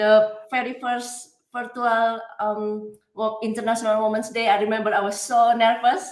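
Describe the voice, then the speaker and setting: A woman with a non-native accent speaks at a moderate pace with hardly any pauses. Audible room echo surrounds her voice. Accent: foreign. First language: not English. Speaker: coach. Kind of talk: interview. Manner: animated.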